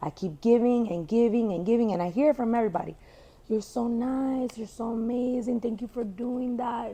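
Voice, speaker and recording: At a moderate pace, a woman speaks with fairly high pitch and ordinary pitch variation. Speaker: entrepreneur. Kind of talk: casual chat. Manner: animated; loud.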